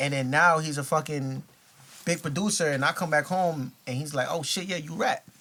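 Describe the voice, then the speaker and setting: Against noticeable background noise, a man with a New York accent and a fairly high pitch speaks at a moderate pace with ordinary pitch variation. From New York with childhood years in Ghana. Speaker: rapper. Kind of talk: casual chat. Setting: studio.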